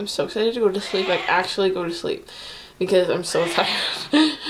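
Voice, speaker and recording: Over noticeable background noise, the speech moves at a moderate pace. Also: woman. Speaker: vlogger. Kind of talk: casual vlog chat. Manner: drowsy, slurred, worn-out voice. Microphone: webcam.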